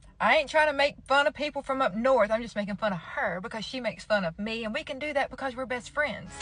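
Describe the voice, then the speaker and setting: A woman with a Georgia accent talks in a high pitch with lively intonation and hardly any pauses, against noticeable background noise. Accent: Southern American, Georgia drawl. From Georgia, US South.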